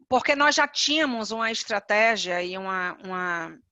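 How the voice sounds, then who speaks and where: A woman with a Bahian accent speaks at a very slow pace in a fairly high pitch, with ordinary pitch variation. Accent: Bahian Brazilian Portuguese. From Bahia, Brazil (Salvador). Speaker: HR executive, panelist. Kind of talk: webinar presentation.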